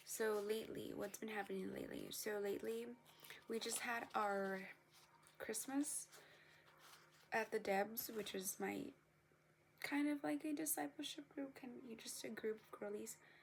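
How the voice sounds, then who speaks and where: A woman keeps a moderate tempo broken by long, frequent pauses, with noticeable noise in the background. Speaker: vlogger. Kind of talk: casual vlog chat. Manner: eating while talking.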